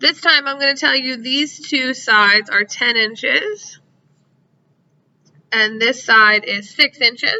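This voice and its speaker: At a very slow pace broken by long, frequent pauses, a woman speaks in a high pitch with lively intonation. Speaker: math teacher. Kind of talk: tutorial.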